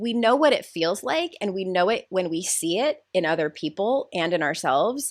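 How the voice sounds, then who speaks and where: A loud woman's voice with very wide pitch swings, in a very clean recording with a silent background. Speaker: life coach and author. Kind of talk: podcast interview.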